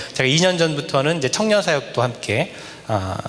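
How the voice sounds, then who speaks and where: A man talks at a fairly quick pace, his pitch swinging very widely. The recording has audible room echo and noticeable background noise. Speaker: guest preacher, associate pastor. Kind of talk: sermon. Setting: church revival service. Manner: fast.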